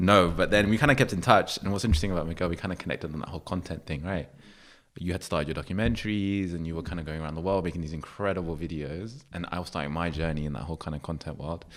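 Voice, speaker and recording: A man with a London accent talks at a very fast pace. His pitch is very deep and low, and the recording is very clean with a silent background. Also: ordinary pitch variation. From London, England. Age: 30s. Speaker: creative platform founder. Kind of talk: podcast interview.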